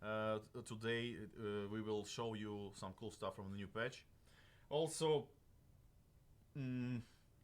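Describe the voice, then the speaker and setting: A man with a Russian accent at a very slow pace, broken by long, frequent pauses. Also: medium pitch for a man, ordinary pitch variation. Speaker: game developer livestream host. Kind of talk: livestream talk. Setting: live stream studio. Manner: halting, many fillers.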